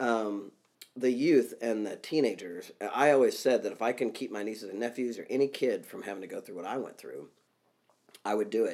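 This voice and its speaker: A man with a Midwestern US accent, his speech at a fairly quick pace, with big swings in loudness. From Kansas. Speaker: executive coach and author. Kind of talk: casual interview conversation.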